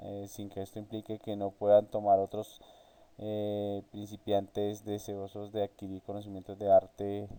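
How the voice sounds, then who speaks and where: Fairly slow and monotone, with flat intonation, a man speaks in a dark, mellow tone. His loudness swings widely. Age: 30s. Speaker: university student. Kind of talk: class presentation. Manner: halting, many fillers.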